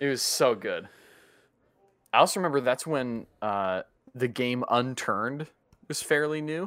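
Pausing long and often, a man talks at a fairly slow pace and medium pitch with ordinary pitch variation. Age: 20s. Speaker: podcast co-host, college student. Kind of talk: casual chat. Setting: virtual call. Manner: animated.

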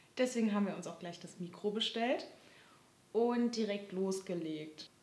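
Fairly slow speech from a woman, medium in pitch, ordinary in pitch variation, with room echo audible. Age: 20s. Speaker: podcast host, social work student. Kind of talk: casual chat.

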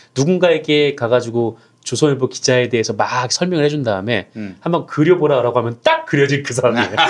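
Very fast speech from a man at medium pitch, ordinary pitch variation, noticeable background noise. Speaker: journalist panelist. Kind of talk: casual panel discussion about media and news.

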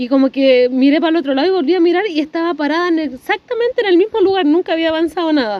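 Lively intonation marks this woman's speech, delivered at a very fast pace. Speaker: podcast guest. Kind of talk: casual chat. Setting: outdoors.

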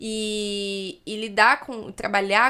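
A woman speaks very slowly at a medium pitch, her tone bright and sharp. The recording is very clean, with a silent background. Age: 20s. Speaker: social worker. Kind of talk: casual interview chat.

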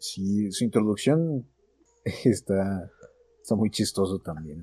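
A man's fairly low, dark, mellow voice with lively intonation, a very slow pace and long, frequent pauses. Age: young. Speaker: podcast host. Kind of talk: casual chat.

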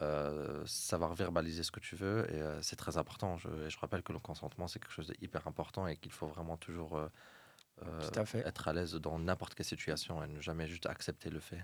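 A man talks at a fairly quick pace in a very deep, low pitch. His intonation stays fairly even. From Morocco, Fès. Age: 30s. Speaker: architect. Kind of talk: casual chat.

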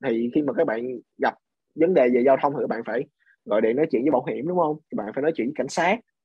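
The speech comes at a very fast pace, with ordinary variation in pitch. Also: man. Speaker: podcast guest sharing English learning experience. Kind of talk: casual interview conversation.

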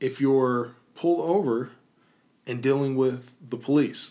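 This man's pitch varies in an ordinary way as he talks with an American accent. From US South, Tennessee. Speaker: podcast co-host. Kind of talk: casual chat. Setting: studio.

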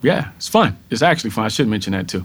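In a Texan accent, a man speaks with a fairly low pitch. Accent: Texan American. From rural Texas. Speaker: corporate diversity executive. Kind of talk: interview.

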